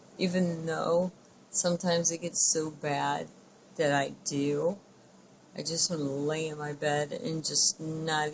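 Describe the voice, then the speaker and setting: Speaking at a very slow pace, a woman uses a very deep, low pitch and fairly even intonation. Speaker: vlogger living with multiple sclerosis. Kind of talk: personal video diary. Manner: slurred speech.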